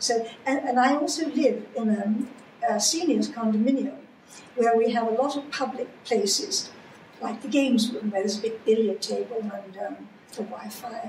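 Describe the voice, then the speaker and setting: Speech at a moderate pace runs under noticeable background noise. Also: woman, fairly high pitch for a woman, ordinary pitch variation. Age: 80s+. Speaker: cancer survivor. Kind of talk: interview answer.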